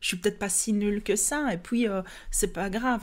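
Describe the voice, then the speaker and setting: In a very clean recording with a silent background, a woman with a Liège accent talks at a moderate pace in a medium pitch. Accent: Liège Belgian French. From Belgium, Liège. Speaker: podcast host, yoga teacher. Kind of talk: personal development podcast monologue. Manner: hesitant, many fillers and repetitions.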